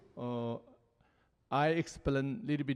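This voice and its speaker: This man has a fairly high pitch with ordinary pitch variation and speaks in a Tibetan accent. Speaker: Buddhist lama. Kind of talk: panel talk. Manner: halting.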